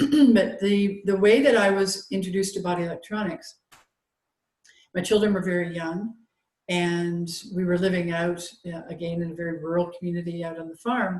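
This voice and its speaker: A somewhat breathy woman's voice at medium pitch, moderate in pace, with long, frequent pauses and big swings in loudness. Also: ordinary pitch variation. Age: 60s. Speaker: holistic health practitioner. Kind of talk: casual interview conversation. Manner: halting, many fillers.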